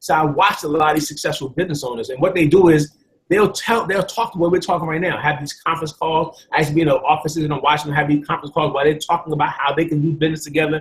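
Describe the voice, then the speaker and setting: A man with an American accent talks at a very fast pace, keeping his intonation fairly even. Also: fairly high pitch for a man, hardly any pauses. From New York City (Bronx). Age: 40s. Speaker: network marketing presenter. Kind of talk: sales pitch.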